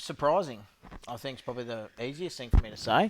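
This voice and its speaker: A man with an Australian accent speaks on a very clean recording over a silent background. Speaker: podcast co-host. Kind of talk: casual chat.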